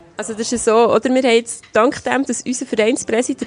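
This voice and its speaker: Over noticeable background noise, a woman with a fairly high pitch and fairly even intonation speaks at a fairly quick pace, with a dry, close sound and no echo. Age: 40s. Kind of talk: interview.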